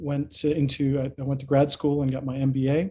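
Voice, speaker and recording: At a moderate pace, a man speaks in a fairly high, somewhat breathy voice with a dark, mellow tone. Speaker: business expert and singer. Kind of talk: casual interview chat. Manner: halting.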